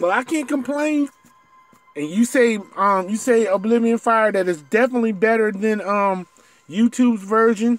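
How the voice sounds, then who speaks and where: Over music in the background, a man talks at a moderate pace with a high pitch and ordinary pitch variation. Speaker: game streamer. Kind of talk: live gameplay stream commentary. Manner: stutters when reading; halting.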